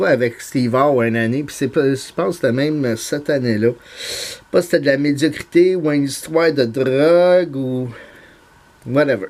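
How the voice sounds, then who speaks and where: A man's voice holds a medium pitch. Its pitch variation is ordinary. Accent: Montreal. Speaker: YouTuber, card collector. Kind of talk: casual vlog monologue. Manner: halting, many fillers.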